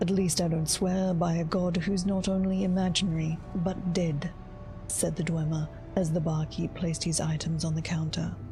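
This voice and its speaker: Over music in the background, a woman speaks at a moderate pace with a fairly low pitch. Her intonation is monotone and flat, and her loudness stays very even. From Australia. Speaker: streamer, content creator. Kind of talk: read story, game lore reading.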